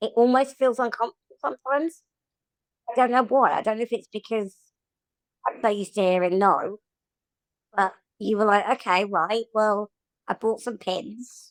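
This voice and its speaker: A woman with a fairly high pitch and ordinary pitch variation speaks at a moderate pace with long, frequent pauses, in a dry, close sound with no echo. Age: 30s. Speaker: podcast guest, wheelchair user sharing lived experience. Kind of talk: casual chat. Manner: animated.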